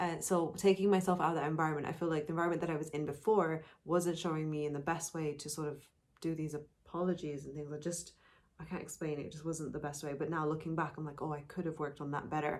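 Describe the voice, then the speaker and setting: The speech is mumbled at a very fast pace. The intonation stays monotone and flat. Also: woman, very deep, low pitch for a woman. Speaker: podcast co-host. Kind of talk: casual chat. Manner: mumbles words, per self.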